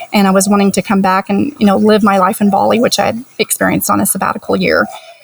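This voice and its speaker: A woman's voice at a medium pitch and a very fast pace, with ordinary pitch variation, noticeable background noise and a dry, close sound with no echo. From US. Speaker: retired teacher, early retiree. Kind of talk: podcast interview.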